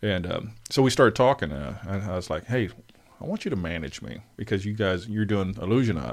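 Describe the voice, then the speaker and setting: Speaking at a fairly quick pace, a man has a fairly low pitch with vocal fry. His intonation is lively. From US South, South Arkansas. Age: 40s. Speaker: musician. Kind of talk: casual chat.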